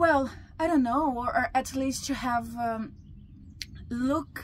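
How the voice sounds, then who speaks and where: At a fairly slow pace, a woman with a Brazilian Portuguese accent speaks in a high pitch with ordinary pitch variation. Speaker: teacher and researcher. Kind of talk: interview. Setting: hotel restaurant in Italy. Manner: halting.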